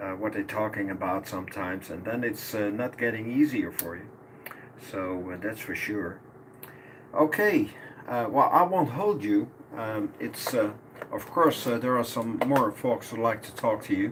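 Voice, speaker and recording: Noticeable background noise surrounds a man speaking at a medium pitch and a moderate pace. His pitch varies in an ordinary way while his loudness swings widely. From Netherlands, Almelo. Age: 60s. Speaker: amateur radio operator, law enforcement officer. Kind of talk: ham radio contact. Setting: radio transmission. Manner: halting, many fillers.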